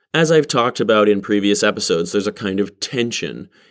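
The recording is very clean, with a silent background. A man talks at a fairly low pitch. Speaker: vlogger. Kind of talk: personal monologue. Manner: conventionally masculine speech.

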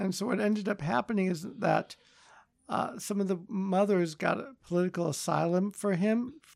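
This voice moves at a moderate pace. It carries an American accent. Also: man, high pitch for a man, ordinary pitch variation. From Los Angeles, San Fernando Valley. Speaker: surgeon. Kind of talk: interview. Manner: hesitant, many fillers.

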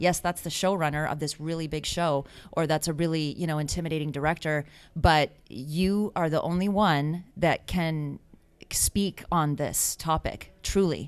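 With an American accent, a woman speaks at a very deep, low pitch and a moderate pace, keeping her intonation fairly even. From US. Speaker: filmmaker and writer. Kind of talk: casual interview.

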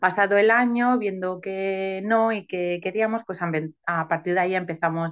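Fairly low in pitch with ordinary pitch variation, a woman speaks at a fairly slow pace. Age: 30s. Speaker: adoptive mother. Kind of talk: personal testimony interview. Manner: halting.

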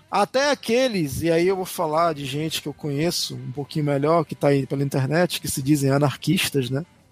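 A man with a fairly high pitch talks at a fairly quick pace with hardly any pauses. The sound is dry and close with no echo, with music in the background. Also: ordinary pitch variation. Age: 40s. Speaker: podcast co-host. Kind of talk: casual chat.

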